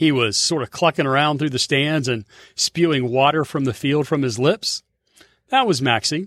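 A man with an American accent and a fairly high pitch talks at a moderate pace in an unremarkable speaking voice. His pitch varies in an ordinary way, with a dry, close sound and no echo. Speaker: sports hall of fame executive director. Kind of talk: scripted narration.

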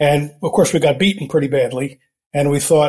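A somewhat breathy man with an American accent and fairly high pitch, at a moderate pace, on a very clean recording with a silent background. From United States. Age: 70s. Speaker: libertarian author. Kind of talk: interview conversation.

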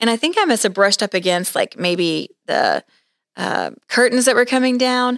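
A woman with an ordinary speaking voice, fairly high in pitch, with lively intonation at a moderate pace, in a very clean recording, silent background and a dry, close sound with no echo. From Oklahoma. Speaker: podcast host. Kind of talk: casual interview.

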